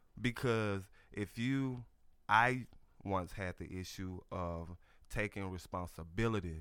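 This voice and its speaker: In a Southern US accent, the voice moves at a fairly slow pace with long, frequent pauses and ordinary pitch variation. The recording is very clean, with a silent background. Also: man, fairly low pitch for a man. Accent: Southern US (Georgia). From US South, Georgia. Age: 40s. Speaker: author and life coach. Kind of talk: radio interview. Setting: radio studio.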